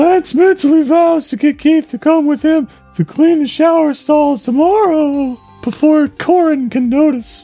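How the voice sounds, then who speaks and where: The speaker uses a put-on character voice with a high pitch at a moderate pace. Faint music plays in the background. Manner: slow.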